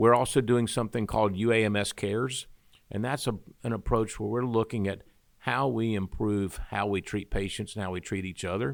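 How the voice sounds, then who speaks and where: A man with a Southern US accent talks at a fairly quick pace, fairly low in pitch, with fairly even intonation, in a very clean recording with a silent background. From Arkansas, Pine Bluff. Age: 60s. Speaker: medical university chancellor. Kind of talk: interview.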